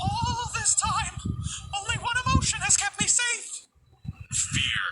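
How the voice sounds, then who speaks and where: A cartoonish character voice talks at a fairly slow pace. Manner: weary, haunted.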